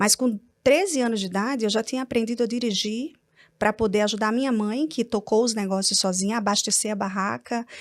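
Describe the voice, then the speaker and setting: The speech moves at a fairly quick pace with ordinary pitch variation. It is a very clean recording with a silent background. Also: woman, fairly high pitch for a woman. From Brazil, Natal (Rio Grande do Norte). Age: 40s. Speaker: entrepreneur and publisher. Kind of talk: testimony. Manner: calm-sounding.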